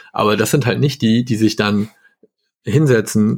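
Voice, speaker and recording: This man speaks at a moderate pace with a fairly low pitch and vocal fry. His pitch varies in an ordinary way. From northern Germany, Hamburg. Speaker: software developer. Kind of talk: casual chat.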